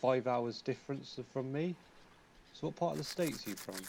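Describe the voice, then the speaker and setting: Ordinary pitch variation from a man with a British accent. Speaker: gaming streamer. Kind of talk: live game stream commentary. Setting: live stream.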